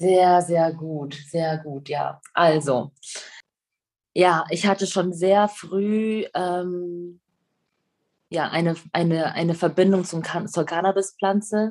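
A woman talks at a very slow pace with a fairly low pitch. Long pauses come often. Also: fairly even intonation. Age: 30s. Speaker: singer and restaurateur. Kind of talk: casual interview.

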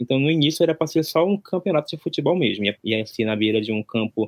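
A man's intonation is lively. He talks at a very fast pace. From Brazil, Amazonas (interior near Manaus). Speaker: event organizer, content creator. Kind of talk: casual interview.

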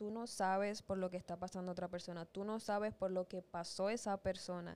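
The woman's voice sits at a medium pitch, and its pitch varies in an ordinary way. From Dominican Republic. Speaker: podcast co-host. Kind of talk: casual chat. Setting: studio.

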